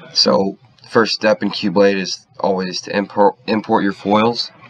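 Over noticeable background noise, a man talks at a fairly slow pace with monotone, flat intonation. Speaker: engineering student. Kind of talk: software tutorial.

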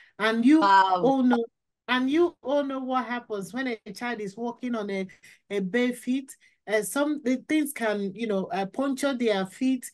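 A woman speaks at a fairly slow pace in a high voice against a quiet background. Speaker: podcast guest. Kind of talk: interview answer. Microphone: video call.

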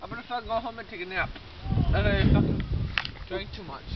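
A man at a very fast pace with ordinary pitch variation, over loud background noise. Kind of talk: slurred drunken rant. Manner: slurred drunk speech. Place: garden. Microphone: phone near.

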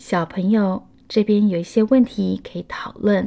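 A woman with a Taiwanese accent at a fairly high pitch, her tone dark and mellow, with ordinary pitch variation and a fairly slow pace, in a very clean recording with a silent background. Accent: Taiwanese Mandarin. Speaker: children's storyteller. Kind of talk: children's picture book read-aloud.

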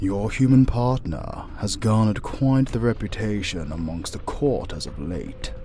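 Clear background noise sits behind a put-on character voice that moves at a fairly slow pace. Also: man. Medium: audio drama. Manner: formal, measured, haughty.

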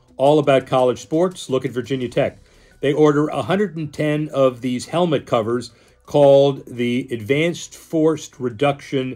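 Faint music plays in the background as a man speaks. He goes at a fairly slow pace with ordinary pitch variation. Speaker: sports business commentator. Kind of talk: commentary. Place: home room. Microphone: phone near.

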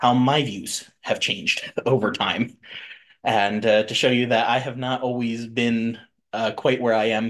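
Against a quiet background, a man speaks fairly slowly in a monotone, flat delivery. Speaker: podcast host. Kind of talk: podcast introduction. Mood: relaxed, laughs often. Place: home room.

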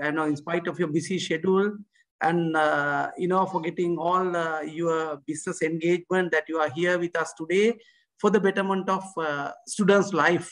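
Over a quiet background, a man speaks in a high pitch with fairly even intonation. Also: moderate pace. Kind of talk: welcome speech. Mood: polite and formal. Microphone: video call.

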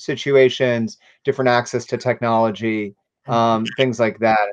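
A man with an American accent against a quiet background. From US South. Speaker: nonprofit director and show host; interview host for history organization. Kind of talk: interview; livestream announcements. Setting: livestream. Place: home room. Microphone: video call.

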